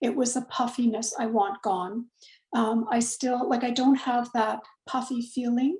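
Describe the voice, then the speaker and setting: A woman talks at a fairly slow pace in a high voice, keeping her loudness very even. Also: ordinary pitch variation. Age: 60s. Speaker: client giving a testimonial. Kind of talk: testimony. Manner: halting, many fillers.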